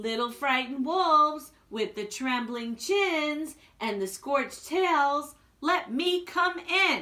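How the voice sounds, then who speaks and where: A woman puts on a character voice, high in pitch, delivered at a fairly slow pace. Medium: read story.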